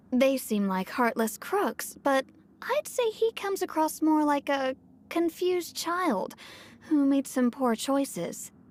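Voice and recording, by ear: A woman's put-on character voice, high-pitched and slow, with big pitch swings and a slightly mellow tone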